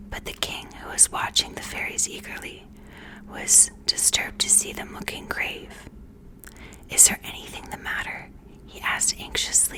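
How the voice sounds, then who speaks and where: The speaker whispers at a moderate pace with long, frequent pauses, and noticeable background noise is audible. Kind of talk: bedtime story reading. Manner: soft, relaxing, close-mic whisper.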